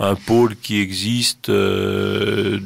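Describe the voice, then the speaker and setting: A man talks in a fairly low pitch with monotone, flat intonation. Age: 60s. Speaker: cultural association president. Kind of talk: radio interview. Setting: studio. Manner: halting.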